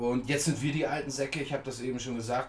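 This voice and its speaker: A fairly high-pitched man's voice over noticeable background noise. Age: 50s. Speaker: scooter enthusiast. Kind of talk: interview. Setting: in person.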